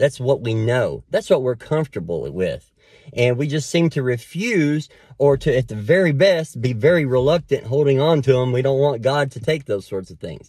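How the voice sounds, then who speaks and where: A man speaks at a moderate pace and medium pitch with lively intonation. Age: 40s. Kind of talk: devotional talk to camera. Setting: alone, recording solo. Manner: loud; conversational, filler-heavy.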